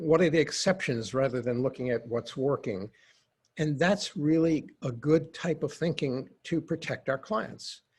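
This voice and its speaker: The pace is fairly slow. There is a somewhat breathy quality to the voice. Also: man, fairly high pitch for a man, ordinary pitch variation. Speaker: psychologist and lawyer consultant. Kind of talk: webinar presentation.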